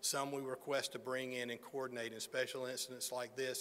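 With an American accent, a man talks fairly quickly in a flat, monotone way. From Alabama, US South. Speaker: federal emergency management official. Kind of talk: press conference remarks. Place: hall. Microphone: podium.

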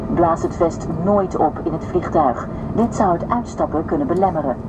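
A woman talks fairly slowly as loud noise fills the background. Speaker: cabin crew announcer. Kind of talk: safety announcement. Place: plane.

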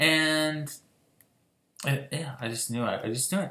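At a moderate pace, a man with a fairly high pitch and ordinary pitch variation talks amid audible room echo. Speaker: vlogger. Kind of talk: personal testimony monologue. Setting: solo video recording. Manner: rambling, many filler words. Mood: frank, frustrated, emotional. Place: home room. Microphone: webcam.

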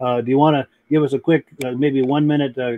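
A man's voice with monotone, flat intonation. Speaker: podcast host. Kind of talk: live show hosting, reading viewer comments. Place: home room.

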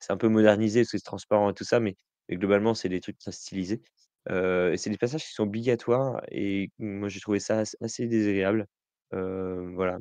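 A man's fairly low, dark, mellow voice at a moderate pace, with fairly even intonation, a dry, close sound with no echo, and a quiet background. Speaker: games journalist. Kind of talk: casual chat.

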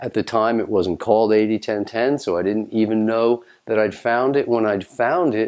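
Quiet background, a man speaking at a moderate pace. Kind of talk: direct-to-camera talk. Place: home room.

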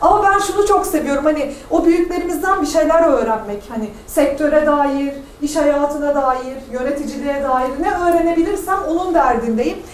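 With hardly any pauses, a woman speaks at a moderate pace and a high pitch with ordinary variation, amid light background noise and audible room echo. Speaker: business association founder and panel speaker; speaker. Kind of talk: panel talk. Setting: university event with audience. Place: classroom. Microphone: camera far.

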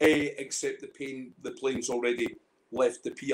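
This is a man with a Scottish accent. He keeps to a moderate pace. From Scotland. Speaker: independent whisky bottler; guest. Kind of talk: casual chat, storytelling. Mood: animated, humorous storytelling. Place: home room. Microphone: video call.

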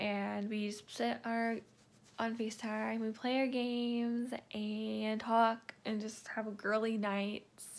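A woman is speaking. Her intonation is monotone and flat. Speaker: vlogger. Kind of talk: casual vlog chat. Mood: relaxed, cheerful. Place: home room. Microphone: phone near.

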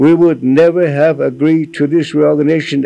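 A man's fairly high-pitched voice, dark and mellow in tone, with fairly even intonation. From US Midwest, Pine Ridge Reservation, South Dakota; South Dakota. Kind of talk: reading aloud; reading a formal letter. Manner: halting.

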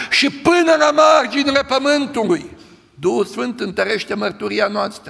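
This man's voice has a bright, sharp tone with vocal fry.

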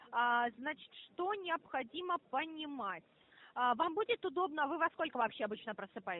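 Recorded dry with no echo, a woman's high-pitched voice makes very wide pitch swings. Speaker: phone scammer posing as bank specialist. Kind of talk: scam phone call. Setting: phone call. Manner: formal. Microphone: phone line.

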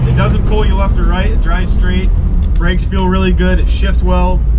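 Loud background noise fills the recording. A man talks over it at a moderate pace. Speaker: presenter. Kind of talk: test drive commentary. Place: car. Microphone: camera far.

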